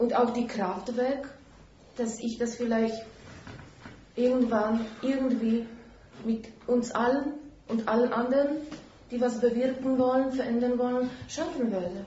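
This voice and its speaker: Over noticeable background noise and audible room echo, a woman with a high pitch talks at a fairly slow pace with fairly even intonation and long, frequent pauses. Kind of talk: public discussion.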